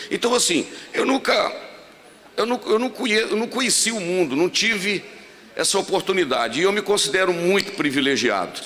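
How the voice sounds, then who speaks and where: A man speaks at a moderate pace with a high pitch and lively intonation. Noticeable background noise runs behind him. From Brazil, Minas Gerais. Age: 60s. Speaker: pastor. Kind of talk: sermon. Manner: conversational, humorous asides.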